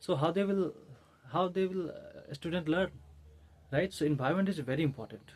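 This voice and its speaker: A man with an Indian accent, at a fairly quick pace and with ordinary pitch variation. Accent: Indian English, Hindi speaker. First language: Hindi. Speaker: English-learning YouTuber. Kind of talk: tutorial. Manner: halting, many fillers and restarts.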